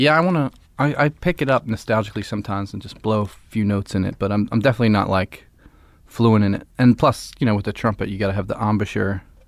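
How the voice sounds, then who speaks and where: This man talks at a very fast pace. His voice sits fairly low, with ordinary pitch variation. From Philadelphia. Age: 30s. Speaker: musician. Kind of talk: casual chat.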